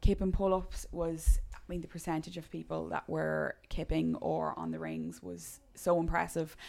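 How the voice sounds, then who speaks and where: A woman in an Irish accent speaks at a moderate pace with big swings in loudness. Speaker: gym coach. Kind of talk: casual chat.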